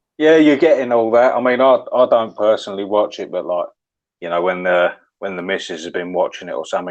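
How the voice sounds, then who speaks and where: A man speaks with a Cockney accent. He talks at a fairly quick pace. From London (Deptford, East End). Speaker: guest commentator. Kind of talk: casual conversation.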